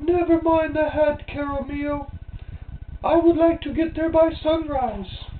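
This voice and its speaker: Using a put-on character voice, a man pitches himself extremely high. He talks at a fairly slow pace. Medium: read story. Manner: dismissive.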